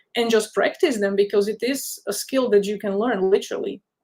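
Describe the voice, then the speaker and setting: A woman's dark, mellow tone with a non-native accent. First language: not English. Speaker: career counsellor. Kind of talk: webinar talk.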